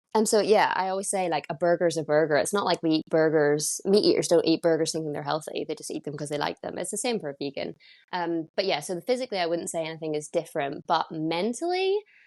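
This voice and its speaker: A woman with a Northern Irish accent speaks very fast in a fairly low pitch, with hardly any pauses. The sound is dry and close, with no echo. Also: ordinary pitch variation, quiet background. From Northern Ireland. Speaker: vegan content creator. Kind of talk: casual interview chat. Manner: animated.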